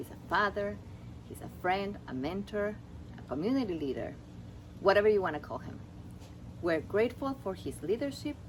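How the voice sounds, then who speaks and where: This woman has a non-native accent. She talks at a moderate pace. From Ecuador. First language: Spanish. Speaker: seminar graduate. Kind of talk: prepared speech.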